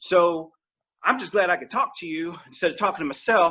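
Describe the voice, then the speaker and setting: A man's raised, projected voice with a Southern accent, high in pitch, bright and sharp in tone, at a moderate pace with ordinary pitch variation. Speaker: comedian. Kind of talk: stand-up. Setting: virtual comedy show. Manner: animated.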